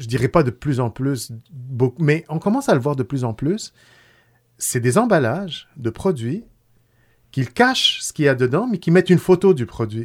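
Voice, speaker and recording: In a very clean recording with a silent background, a man with an Arabic accent speaks at a moderate pace in a fairly high, somewhat breathy voice, his pitch swinging very widely between long, frequent pauses. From Tunisia. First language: Arabic (speaking French). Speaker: food company founder. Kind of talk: casual chat. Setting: studio.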